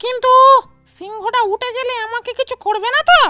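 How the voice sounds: Squeaky and cartoonish, a character voice moves at a moderate pace. Faint music plays in the background.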